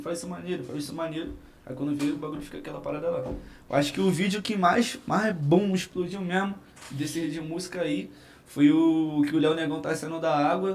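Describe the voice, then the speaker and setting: A man with a fairly high pitch, ordinary pitch variation, big swings in loudness and a fairly quick pace. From Rio de Janeiro (Cidade de Deus), born in Minas Gerais. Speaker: comedian and viral internet personality. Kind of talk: casual podcast chat.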